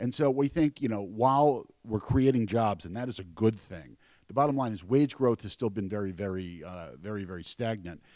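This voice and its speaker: On a very clean recording with a silent background, a man with an American accent speaks at a fairly low pitch with a dark, mellow tone, lively intonation, big swings in loudness and hardly any pauses. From New York. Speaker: financial analyst. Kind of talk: panel talk. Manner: fast.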